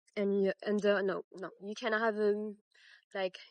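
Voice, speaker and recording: The sound is dry and close, with no echo. The background is quiet. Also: woman. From France. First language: French. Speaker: crochet tutorial maker. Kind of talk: tutorial. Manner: halting, many fillers; casual.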